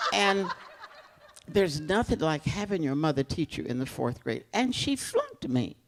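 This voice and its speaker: A woman with an American accent speaks at a moderate pace in a very deep, low voice, her pitch swinging very widely. Noticeable background noise runs behind her. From US South (Newport News, Virginia). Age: 80s+. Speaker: elder educator telling her life story. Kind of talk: oral history interview. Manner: conversational, with hesitations.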